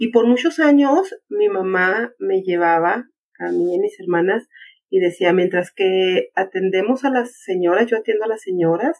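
A woman speaks in a normal speaking voice at a medium pitch. Her pace is fairly slow. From Mexico, Ciudad Juárez (Chihuahua, border). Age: 50s. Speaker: activist. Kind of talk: casual interview.

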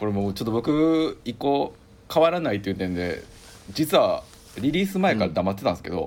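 Speaking fairly quickly with a Kansai accent, a man uses a fairly high pitch, very wide pitch swings and big swings in loudness. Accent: Kansai Japanese. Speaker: rock band bassist. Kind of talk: casual interview chat. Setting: remote call.

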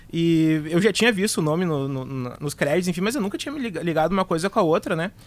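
Speaking at a very fast pace, a man with a high-pitched voice shows ordinary pitch variation. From southern Brazil, Alvorada near Porto Alegre. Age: 30s. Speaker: culture journalist. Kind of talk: casual chat.

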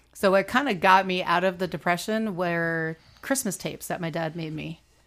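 The speaker is a woman with a medium pitch and ordinary pitch variation. Her recording is very clean, with a silent background. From Ontario, Canada (Etobicoke). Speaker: interview guest. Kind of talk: interview. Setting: studio.

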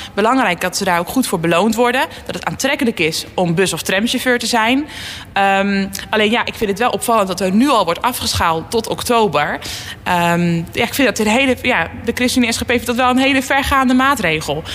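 Fairly quick speech from a woman with a fairly high pitch, over noticeable background noise. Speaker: politician. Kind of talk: radio interview. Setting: studio.

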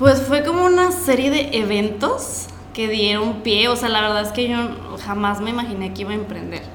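A woman's fairly high voice with lively intonation at a moderate pace, with noticeable background noise and audible room echo. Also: hardly any pauses. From Mexico, Monterrey. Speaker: architect and eco-business co-founder. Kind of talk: interview.

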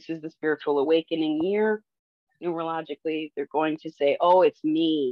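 A woman's very deep, low voice with an American accent, fairly quick and fairly even in intonation, with big swings in loudness. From US, Detroit. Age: 50s. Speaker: reiki hairstylist and teacher. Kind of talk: casual interview.

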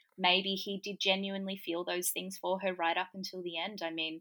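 A woman at a medium pitch with an Australian accent, at a fairly quick pace, on a very clean recording with a silent background. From Gold Coast, Australia. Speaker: comedian. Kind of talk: casual chat.

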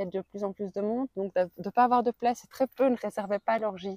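A woman speaks at a moderate pace with a dark, mellow tone. The sound is dry and close, with no echo. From Belgium. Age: 40s. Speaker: pilgrim recounting her walk. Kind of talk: interview testimony. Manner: hesitant, many fillers.

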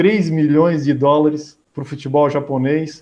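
Using a normal speaking voice, a man talks at a fairly slow pace with fairly even intonation. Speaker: football podcast host. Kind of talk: casual chat.

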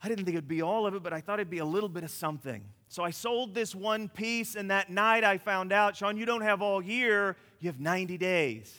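A man's high voice, raised and projected, with a bright, sharp tone, ordinary pitch variation and a fairly quick pace. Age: 50s. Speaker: pastor. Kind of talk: sermon.

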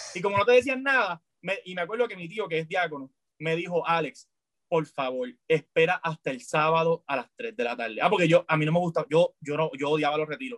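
A man talks at a fairly quick pace with a high pitch. The sound is dry and close, with no echo. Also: lively intonation. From Puerto Rico. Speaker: comedian and content creator. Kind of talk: casual interview.

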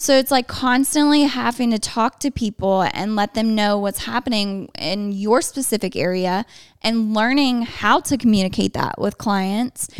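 A woman with an unremarkable speaking voice, fairly high in pitch, at a moderate pace with ordinary pitch variation and hardly any pauses, on a very clean recording with a silent background. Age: 20s. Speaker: realtor, former teacher. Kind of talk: casual chat.

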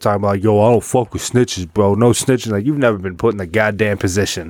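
A man talks at a very fast pace with fairly even intonation, in a very clean recording with a silent background. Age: 30s. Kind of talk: casual chat. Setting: basement home recording.

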